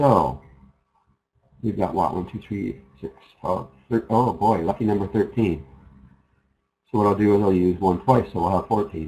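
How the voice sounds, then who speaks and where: A man with vocal fry and a dark, mellow tone speaks at a fairly low pitch and a moderate pace, with ordinary pitch variation and long, frequent pauses. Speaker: internet marketing trainer. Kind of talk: webinar tutorial.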